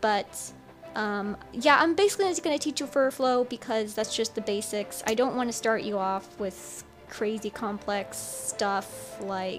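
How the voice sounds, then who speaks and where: Music can be heard behind the speaker. She is a woman talking at a moderate pace. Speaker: digital artist. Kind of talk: tutorial voiceover. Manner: mumbling a bit.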